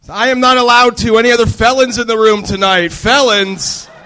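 Moderate-paced speech from a man, his voice raised and projected, its tone bright and sharp. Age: 30s. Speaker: stand-up comedian, military veteran. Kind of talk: stand-up. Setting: stage with live audience.

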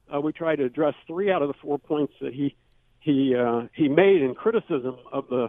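A man's fairly high-pitched, an ordinary speaking voice, at a moderate pace with ordinary pitch variation. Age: 60s. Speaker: professor. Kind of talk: radio interview. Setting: phone call.

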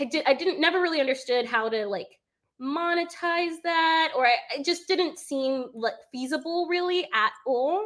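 A woman with an American accent, animated in tone, with lively intonation at a moderate pace. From England, then US. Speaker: former engineer and short-term rental investor. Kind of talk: casual interview.

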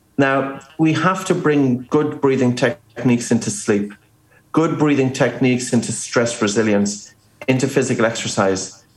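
With an Irish accent, a man speaks at medium pitch and very even loudness. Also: ordinary pitch variation, moderate pace. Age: 40s. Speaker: breathing expert and author. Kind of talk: interview.

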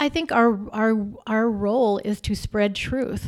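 An unremarkable speaking voice from a woman with an American accent, medium pitch and ordinary pitch variation. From Arizona. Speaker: newspaper editor-in-chief. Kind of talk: interview.

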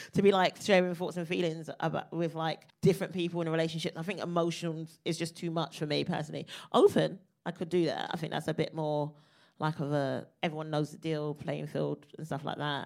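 Very clean recording, silent background. A woman speaks at a fairly quick pace with vocal fry and ordinary pitch variation. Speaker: comedian. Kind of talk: live podcast recording in front of audience. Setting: stage with audience.

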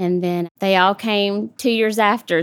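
A woman's voice at a fairly slow pace, with ordinary pitch variation. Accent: Southern US. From US South, South Georgia. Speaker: widowed single mother. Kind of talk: casual interview.

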